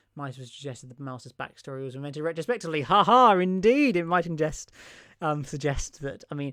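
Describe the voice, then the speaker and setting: Recorded very cleanly against a silent background, a man with an English accent speaks at a very fast pace. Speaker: Doctor Who YouTuber. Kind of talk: live stream chat with viewers. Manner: animated.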